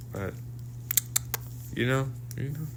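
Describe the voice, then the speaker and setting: At a moderate pace and medium pitch, a man talks with audible room echo. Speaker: wrestling show reviewer. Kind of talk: casual solo review monologue. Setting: recorded at workplace. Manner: halting, many restarts and fillers.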